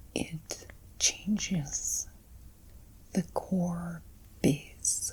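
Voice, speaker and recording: A soft-spoken woman amid noticeable background noise. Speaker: intuitive card reader. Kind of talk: ASMR card reading.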